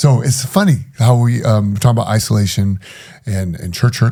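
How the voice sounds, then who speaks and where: A man talks at medium pitch and a moderate pace with lively intonation. His tone is dark and mellow, and somewhat breathy. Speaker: former preacher and ex-prisoner sharing his story. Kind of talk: podcast interview, personal testimony. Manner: halting, stuttering on hard topics.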